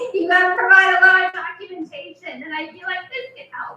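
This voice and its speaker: A woman speaks in a nervous tone at an extremely high pitch, with audible room echo. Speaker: stand-up comedian. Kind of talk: stand-up. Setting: stage with audience. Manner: sounds a little nervous. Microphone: echo in room.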